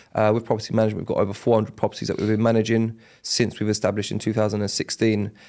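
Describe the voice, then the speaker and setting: Very fast and in a monotone, flat delivery, a man with a London accent speaks in a dark, mellow tone. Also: fairly low pitch for a man. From South London, Catford. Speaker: estate agency owner. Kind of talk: podcast interview. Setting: podcast studio. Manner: casual, many fillers.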